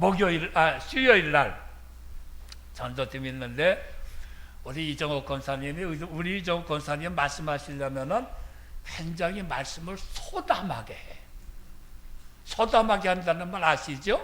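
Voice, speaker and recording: Bright and sharp in tone, a man speaks at a high pitch and a fairly slow pace with ordinary pitch variation. Long, frequent pauses and audible room echo run through the clip. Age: 70s. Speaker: retired senior pastor. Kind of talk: sermon. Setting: church.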